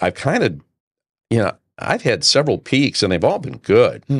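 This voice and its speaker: This man has an American accent and some vocal fry. He talks at a fairly quick pace on a very clean recording with a silent background. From Detroit. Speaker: broadcaster. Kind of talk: interview answer.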